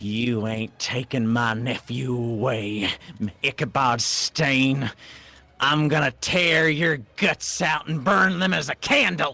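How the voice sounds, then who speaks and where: In a put-on character voice, a man growls at a fairly slow pace with a medium pitch. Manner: threatening, vengeful.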